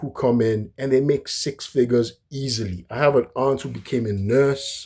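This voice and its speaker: A man speaks at a medium pitch with a dark, mellow tone on a very clean recording with a silent background. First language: not English. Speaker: history commentator. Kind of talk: casual monologue lecture. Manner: halting, many fillers and restarts.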